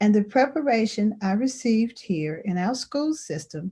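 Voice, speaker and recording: A woman with a Virginia accent talks at a moderate pace in a somewhat breathy, dark, mellow tone against a quiet background. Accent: Southern US (Virginia). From US South (Roanoke, Virginia). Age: 70s. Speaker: panelist, social worker. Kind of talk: panel discussion.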